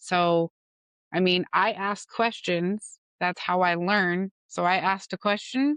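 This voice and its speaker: Recorded dry and close with no echo, a woman speaks at a very slow pace and medium pitch, with ordinary pitch variation and very even loudness. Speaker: podcast co-host. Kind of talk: casual chat. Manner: loud when passionate; animated.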